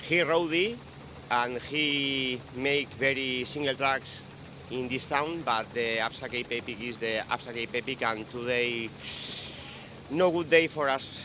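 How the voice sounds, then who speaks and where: A man with a Spanish accent speaks at a fairly slow pace and a medium pitch. His pitch variation is ordinary, and there is noticeable background noise. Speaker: professional mountain bike racer. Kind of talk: post-race interview. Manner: halting.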